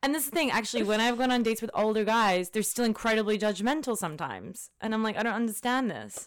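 Her pitch is fairly high for a woman. She talks at a very fast pace with hardly any pauses. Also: ordinary pitch variation. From Australia. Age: 20s. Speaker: lawyer. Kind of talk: casual chat.

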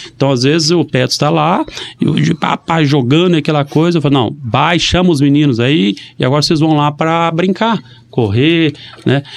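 Moderate-paced, fairly high-pitched speech from a man with ordinary pitch variation, a normal speaking voice. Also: very even loudness. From Brazil, Maringá (Paraná). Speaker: mayor. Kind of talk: casual interview. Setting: radio studio.

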